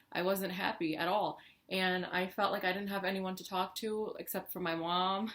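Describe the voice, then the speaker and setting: A woman speaks at a medium pitch. Her delivery is a flat monotone. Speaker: beauty and lifestyle vlogger. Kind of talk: personal story vlog. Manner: fast; casual, filler-heavy.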